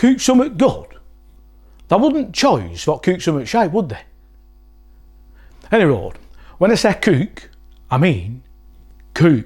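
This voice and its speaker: In a Lancashire accent, a man with a high pitch talks at a fairly slow pace, with very wide pitch swings and long, frequent pauses. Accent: Wigan, Lancashire dialect. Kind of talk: comedic dialect lesson to camera.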